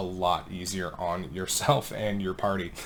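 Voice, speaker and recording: A man speaks quietly. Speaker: gaming content creator. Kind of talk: gameplay tutorial. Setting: home recording late at night. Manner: hushed to avoid waking kids.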